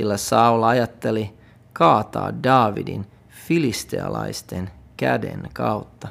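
A man's fairly low voice with vocal fry and lively intonation at a very slow pace. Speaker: pastor reading the Bible aloud. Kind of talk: literary scripture reading, solemn narration of biblical text. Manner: measured, even, formal reading pace.

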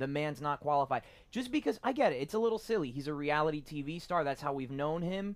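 An animated man at a very fast pace, with lively intonation. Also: fairly high pitch for a man. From Miami, Florida, Cuban-American family. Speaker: podcast guest. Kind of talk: casual chat.

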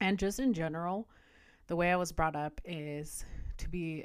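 A woman's fairly low voice with ordinary pitch variation, in a very clean recording with a silent background. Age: 20s. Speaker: podcast host. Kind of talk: personal reflection monologue. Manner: casual, hesitant with fillers.

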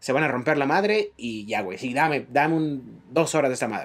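This is a man speaking. His pace is fairly quick. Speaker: podcast co-host. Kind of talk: casual chat.

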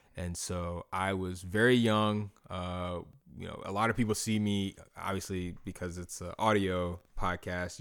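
A man with a very deep, low pitch speaks in an American accent with monotone, flat intonation. He goes at a fairly slow pace with hardly any pauses, on a very clean recording with a silent background. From South Carolina, North Augusta. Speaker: former basketball player and ministry worker. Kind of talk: casual interview.

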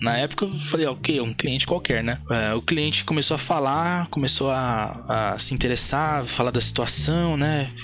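A man with a medium-pitched voice speaks at a moderate pace with hardly any pauses. His pitch varies normally, and there is noticeable background noise. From Brazil. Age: 30s. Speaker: game studio co-founder and technical director. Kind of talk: casual chat.

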